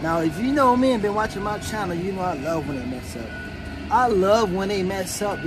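Music can be heard behind the speaker. He is a man talking at an unhurried, moderate speed. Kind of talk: casual vlog chat. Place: car. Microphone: phone near.

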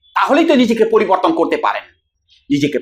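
A man's stern tone with very wide pitch swings. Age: 40s. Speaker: counselor and video creator. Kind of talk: direct-to-camera advice talk. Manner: stern, lecturing.

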